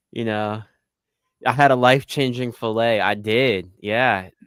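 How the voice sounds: A man speaks fairly slowly at a medium pitch with ordinary pitch variation. His tone is clear, smooth and fairly bright.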